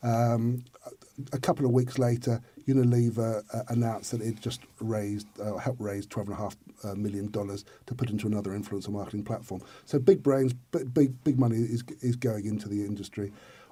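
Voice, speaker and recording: A man at a medium pitch talks at a fairly quick clip with a dark, mellow tone. His intonation stays fairly even, and the voice is somewhat breathy. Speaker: influencer marketing specialist. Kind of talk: interview. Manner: fast; halting, many repetitions.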